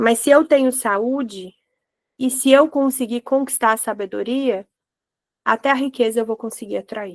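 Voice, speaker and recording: Her voice is high-pitched, captured with a dry, close sound and no echo. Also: ordinary pitch variation, moderate pace. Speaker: holistic therapist leading Bible devotional. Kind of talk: devotional teaching. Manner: animated.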